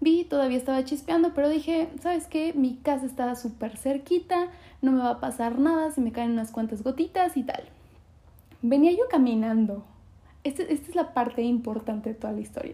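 The tone is dark and mellow, with ordinary pitch variation. Delivery moves at a fairly quick pace. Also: woman, high pitch for a woman. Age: 20s. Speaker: podcast host. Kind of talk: casual monologue.

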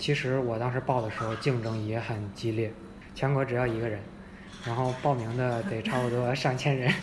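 Noticeable noise fills the background while the speech keeps a moderate pace. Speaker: former Russian-language professional, now general manager's assistant. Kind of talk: casual chat.

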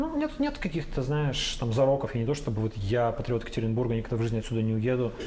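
A man speaks at a very fast pace with fairly even intonation. Audible room echo and noticeable background noise surround his voice. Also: medium pitch for a man, hardly any pauses, very even loudness. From Russia, Urals (Yekaterinburg). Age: 30s. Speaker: journalist, news editor. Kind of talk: casual interview. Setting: bar.

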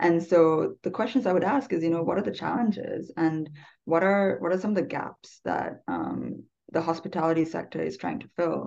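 Her voice sits fairly low with some vocal fry, and this woman speaks at a moderate pace with ordinary pitch movement. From Sri Lanka. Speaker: sustainable tourism professional. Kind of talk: interview. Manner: many fillers and hesitations.

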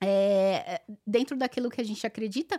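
In a Paulista accent, a woman speaks at a high pitch and moderate pace. The recording is very clean and dry, with a silent background and no echo. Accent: Paulista Brazilian Portuguese. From Brazil, São Paulo city. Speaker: online content creator. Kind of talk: casual chat.

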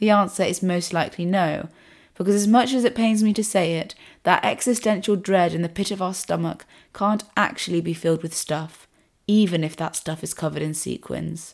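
With a British accent and ordinary pitch variation, the speaker goes at a fairly quick pace on a very clean recording with a silent background. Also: woman, medium pitch for a woman. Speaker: podcast host. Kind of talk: solo podcast monologue.

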